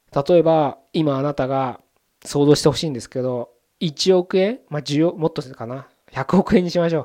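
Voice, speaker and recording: The dark, mellow tone comes at a fairly quick pace with ordinary pitch variation, in a dry, close sound with no echo and a very clean recording over a silent background. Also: man. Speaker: podcast host. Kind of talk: solo monologue podcast. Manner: casual, conversational.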